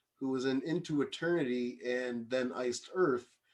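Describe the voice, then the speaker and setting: This man has an unremarkable speaking voice with a Canadian accent, medium pitch and fairly even intonation. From Canada, Kingston Ontario area. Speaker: music video VJ and YouTuber. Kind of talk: casual chat.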